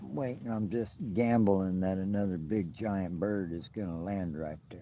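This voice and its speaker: A man with an American accent, a very deep, low pitch and a dark, mellow tone, at a fairly slow pace with ordinary pitch variation. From US Midwest. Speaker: outdoor vlogger. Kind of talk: live stream chat. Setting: outdoors. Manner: loud.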